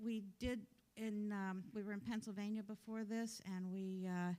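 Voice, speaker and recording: With an American accent, the speaker talks at a fairly slow pace in a dark, mellow tone and a monotone, flat intonation. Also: woman. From US Midwest and Florida (Detroit, then Miami). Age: 70s. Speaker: new church member. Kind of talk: personal introduction. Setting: church service. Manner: halting with many fillers.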